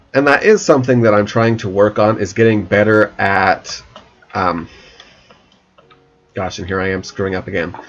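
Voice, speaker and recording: At a moderate pace, a man with a fairly low pitch speaks with ordinary pitch variation and long, frequent pauses. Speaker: gaming YouTuber. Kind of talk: let's play commentary. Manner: many pauses and silences; halting.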